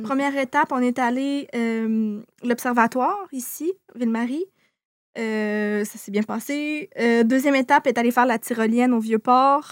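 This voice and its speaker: In a very clean recording with a silent background, a woman with a high pitch speaks at a fairly slow pace in a Quebec accent. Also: ordinary pitch variation, dry, close sound with no echo. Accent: Québécois French. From Quebec City region. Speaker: YouTuber. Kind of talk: casual chat.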